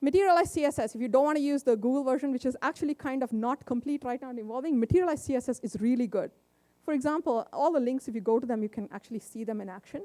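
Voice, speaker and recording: Loud and very fast, a woman speaks at a high pitch with ordinary pitch variation, her dark, mellow tone caught in a dry, close sound with no echo. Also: very clean recording, silent background. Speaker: tech conference speaker. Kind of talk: conference talk. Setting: stage with audience.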